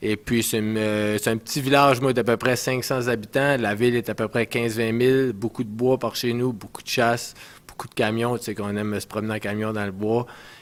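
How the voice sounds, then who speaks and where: Fairly quick, monotone speech from a man at medium pitch, with flat intonation and noticeable background noise. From Canada, northwestern New Brunswick, Edmundston area. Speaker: ice hockey player. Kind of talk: casual interview.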